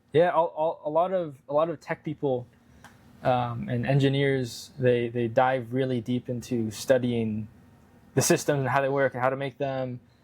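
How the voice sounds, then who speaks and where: At a moderate pace and with fairly even intonation, a man speaks in an unremarkable speaking voice. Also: medium pitch for a man. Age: 20s. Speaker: AI company co-founder. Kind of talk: interview.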